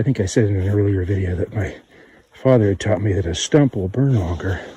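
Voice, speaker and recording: A man speaks at a fairly low pitch in a dark, mellow tone. His voice is somewhat breathy, with ordinary pitch variation. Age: 50s. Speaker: bushcraft vlogger. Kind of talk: outdoor tutorial. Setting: outdoors on a trail. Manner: halting, with fillers.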